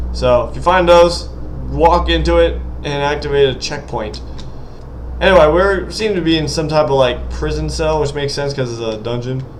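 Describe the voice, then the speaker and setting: A man speaks over noticeable background noise, with audible echo in the room. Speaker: indie game developer and gaming youtuber. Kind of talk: gameplay commentary. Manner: fast; animated.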